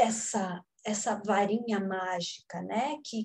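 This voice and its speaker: A somewhat breathy woman's voice at a very slow pace. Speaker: conservation and restoration teacher. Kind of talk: lecture.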